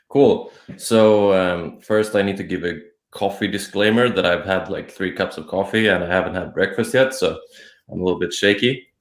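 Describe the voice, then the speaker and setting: A man speaks with a Swedish accent at a fairly low pitch. His pace is moderate and his intonation fairly even. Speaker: blogger. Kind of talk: casual chat.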